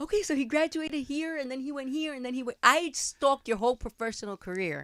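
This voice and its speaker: A woman with a New York accent rattles along at a very fast pace, her high, bright, sharp voice animated and lively in intonation, with big swings in loudness and a dry, close sound with no echo. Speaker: podcast host. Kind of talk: interview.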